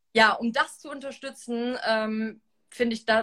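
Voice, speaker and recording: At a moderate pace, the voice comes across bright and sharp in tone. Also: woman. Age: 20s. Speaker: reality TV contestant. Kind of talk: interview. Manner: halting.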